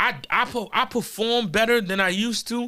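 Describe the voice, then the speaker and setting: A raised, projected voice with a bright, sharp tone and ordinary pitch variation, in a very clean recording with a silent background. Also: man. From New York, Harlem. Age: 30s. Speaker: battle rapper. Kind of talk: casual chat. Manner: animated.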